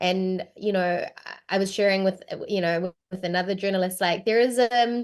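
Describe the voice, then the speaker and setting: With a New Zealand accent, a woman talks at a moderate pace with ordinary pitch variation against a quiet background. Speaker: voice actor. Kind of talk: interview.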